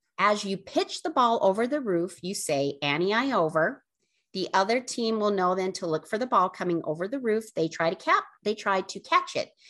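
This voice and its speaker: A woman with an unremarkable speaking voice speaks in a medium pitch. Her intonation is lively and her pace moderate. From Utah, Draper. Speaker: podcast co-host. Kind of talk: casual chat.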